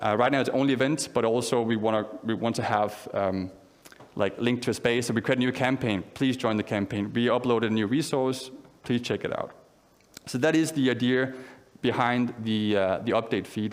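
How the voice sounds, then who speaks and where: Audible room echo surrounds a man speaking at a medium pitch. His loudness stays very even, and his intonation is fairly even. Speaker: conference speaker. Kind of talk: conference talk with live demo. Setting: stage with audience. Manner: fast.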